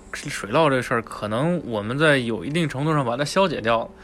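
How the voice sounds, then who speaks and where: A man speaks with lively intonation. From Tianjin. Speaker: podcast host. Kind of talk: casual chat.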